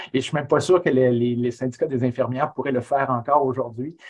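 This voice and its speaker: A man's fairly high-pitched voice comes across somewhat breathy. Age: 50s. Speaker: history professor; webinar guest. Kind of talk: webinar talk. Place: home room. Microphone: earbuds.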